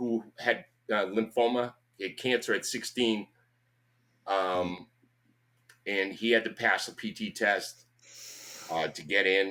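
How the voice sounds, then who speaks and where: A man with a Boston accent at a very slow pace, with long, frequent pauses. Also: big swings in loudness. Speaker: army veteran and fitness trainer. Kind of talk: casual interview chat. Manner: loud; animated.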